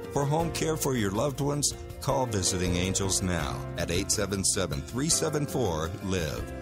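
A man's very deep, low voice with very wide pitch swings and very even loudness, music playing in the background. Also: moderate pace. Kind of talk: radio commercial read.

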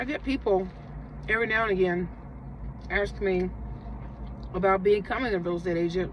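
There is light background noise behind a woman's voice. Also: dry sound with no echo. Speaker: vlogger. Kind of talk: casual vlog chat. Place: car. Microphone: phone near.

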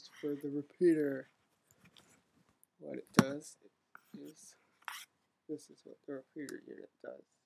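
Loud background noise behind speech at a fairly slow pace. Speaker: amateur radio hobbyist. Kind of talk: tutorial demonstration. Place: home room. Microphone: webcam.

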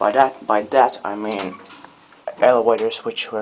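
A man speaking at a fairly slow pace over light background noise. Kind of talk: casual commentary. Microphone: phone near.

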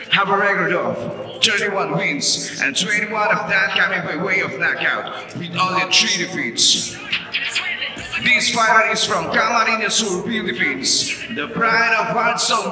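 Against noticeable background noise, a man talks at a fairly slow pace in a high voice with ordinary pitch variation. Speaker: professional boxing ring announcer. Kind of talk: boxing ring announcement. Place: hall.

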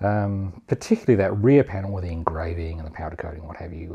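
A man speaks at a low pitch with vocal fry and a husky, rough edge. His tone is dark and mellow.

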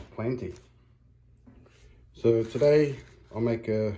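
A man speaks with a dark, mellow tone. His voice is somewhat breathy. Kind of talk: casual vlog chat. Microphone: phone near.

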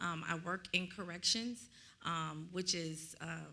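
With an American accent, a woman speaks at a fairly low pitch, her bright, sharp tone marked by vocal fry. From Dallas area, Texas; Texas. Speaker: minister; minister in discussion. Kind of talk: bible study discussion. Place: church. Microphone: studio mic.

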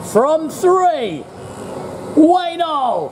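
Over light background noise, the speech moves at a very slow pace. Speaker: race commentator. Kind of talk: commentary. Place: stadium.

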